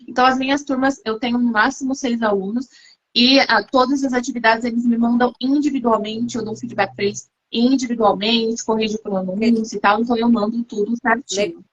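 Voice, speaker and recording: A woman with a fairly high pitch and an unremarkable speaking voice. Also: fairly even intonation, moderate pace. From Brazil. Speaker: English teacher. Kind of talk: live-stream interview.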